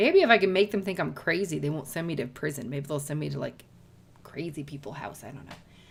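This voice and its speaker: A raspy, put-on character voice at a very fast pace, with ordinary pitch variation and big swings in loudness. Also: woman, very deep, low pitch for a woman. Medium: solo performance. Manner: cranky, sarcastic.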